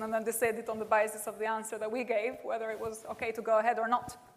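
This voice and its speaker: A woman with an Albanian accent talks at a very fast pace and a fairly high pitch. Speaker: professor. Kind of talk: lecture.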